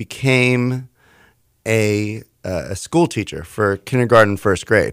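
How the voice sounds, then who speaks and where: A man with an American accent speaks in a bright, sharp tone at a fairly low pitch. His pitch varies in an ordinary way, on a very clean recording with a silent background. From Houston, Texas. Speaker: DJ and licensed therapist. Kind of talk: casual interview.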